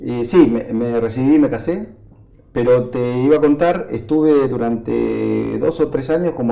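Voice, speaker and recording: The man's tone is dark and mellow. His pitch is medium, with ordinary variation. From Argentina, Buenos Aires city. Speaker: agronomist and agribusiness association president. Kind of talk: interview. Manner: hesitant, filler-heavy.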